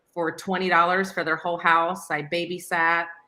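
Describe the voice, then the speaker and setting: On a very clean recording with a silent background, a woman with an American accent speaks in a fairly low pitch with a bright, sharp tone and monotone, flat intonation. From Florida, Buckingham. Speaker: salon owner. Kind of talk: podcast interview.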